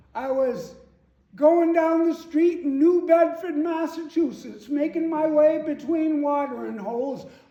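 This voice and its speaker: A man puts on a character voice with an extremely high pitch, speaking at a fairly slow pace. A clear echo surrounds it. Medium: stage play. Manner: hearty, expansive, grandiloquent.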